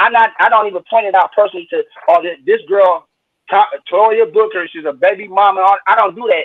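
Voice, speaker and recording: With an American accent, a man is talking. He moves along at a fairly quick pace. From Saginaw, Michigan, US Midwest. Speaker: interview guest, online commentator. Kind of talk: live-stream interview. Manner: animated.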